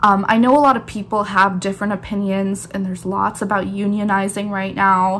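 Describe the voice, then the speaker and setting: A woman speaks in an ordinary speaking voice at medium pitch and a moderate pace. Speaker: barista and YouTuber. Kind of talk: casual vlog talk.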